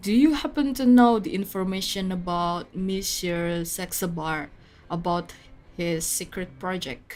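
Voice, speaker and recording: A woman with an Indonesian accent speaks fairly slowly at medium pitch, her intonation lively. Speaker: VTuber game streamer. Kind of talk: gaming livestream chat.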